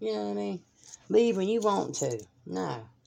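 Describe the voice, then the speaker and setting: A woman with a Southern US accent speaks with very wide pitch swings. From US South, North Carolina (Fayetteville). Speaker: podcast host. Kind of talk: solo monologue, casual rant. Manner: animated.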